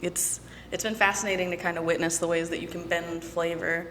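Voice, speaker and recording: In a flat, monotone delivery, a woman with a fairly low pitch talks at a fairly quick pace amid noticeable background noise and audible room echo. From Michigan. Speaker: whiskey brand representative. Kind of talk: casual chat.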